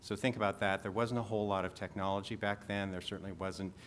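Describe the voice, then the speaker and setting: With fairly even intonation, a man talks at a fairly low pitch. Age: 60s. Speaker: patient panelist with vision loss. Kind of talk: panel talk to audience.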